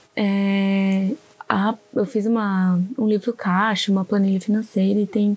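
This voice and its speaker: A woman's fairly high-pitched, somewhat breathy voice with a dark, mellow tone. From southern Brazil, Santa Catarina (Orleans). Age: 20s. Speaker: podcast host, illustrator. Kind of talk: casual solo monologue.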